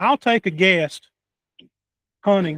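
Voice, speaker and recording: The speaker has a Southern US accent and ordinary pitch variation. The sound is dry and close, with no echo. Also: man. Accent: southern rural drawl. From North Carolina. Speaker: podcast host. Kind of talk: casual interview chat. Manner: halting, many fillers.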